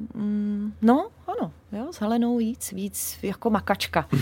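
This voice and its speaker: This voice has a dark, mellow tone and moves at a very slow pace. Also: woman. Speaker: singer. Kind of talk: interview. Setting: radio studio.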